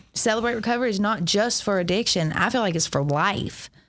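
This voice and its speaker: A woman with a Southern US accent speaks at a moderate pace and medium pitch with ordinary pitch variation, on a very clean recording with a silent background. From US South (west Georgia / Alabama). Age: 30s. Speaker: recovery ministry leader. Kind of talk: testimony. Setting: church.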